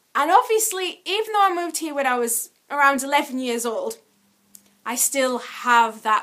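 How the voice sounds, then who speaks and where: Raised and projected, a woman's high-pitched voice has a bright, sharp tone and very wide pitch swings. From Yorkshire, England. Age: adult. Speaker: vlogger. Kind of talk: casual vlog monologue.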